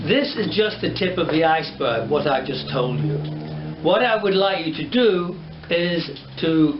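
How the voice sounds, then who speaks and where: Fairly slow speech from a man, with noticeable background noise and audible room echo. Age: 70s. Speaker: hairdresser and educator. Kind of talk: tutorial. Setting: studio. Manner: animated.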